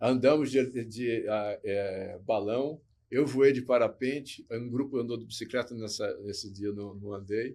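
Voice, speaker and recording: A man's medium-pitched voice, dark and mellow in tone, at a fairly slow pace with hardly any pauses, fairly even intonation and big swings in loudness, on a very clean recording with a silent background. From Botucatu, São Paulo state, Brazil. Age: 60s. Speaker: former model and motivational speaker. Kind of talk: casual interview chat.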